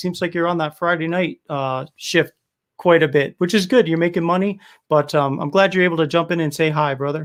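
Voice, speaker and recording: A man with a Rhode Island accent, high-pitched with ordinary variation, at a fairly quick pace on a very clean recording with a silent background. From US Northeast, Rhode Island (Cranston, Providence). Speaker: beard oil business owner and livestream host. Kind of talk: casual livestream chat. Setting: live stream. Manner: animated.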